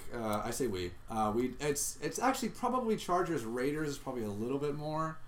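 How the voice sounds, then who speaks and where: In a room with audible echo, a man speaks at a fairly high pitch with very wide pitch swings. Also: fairly quick pace. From Southern California (Orange County). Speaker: podcast host, improv comedian. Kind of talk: casual chat.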